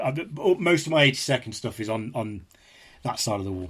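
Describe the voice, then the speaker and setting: A man with an East Midlands accent speaks at a fairly quick pace. The recording is very clean with a silent background. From England, Leicestershire. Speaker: historian and author. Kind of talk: interview discussion. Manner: halting, repeats words.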